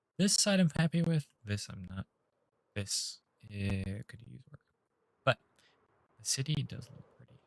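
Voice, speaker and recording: With an American accent, a man speaks at medium pitch and a moderate pace, his intonation lively. His voice is somewhat breathy, with a dry, close sound and no echo. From northern US. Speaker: gaming livestreamer. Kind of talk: live gameplay stream chat. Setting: livestream with chat. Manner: talkative.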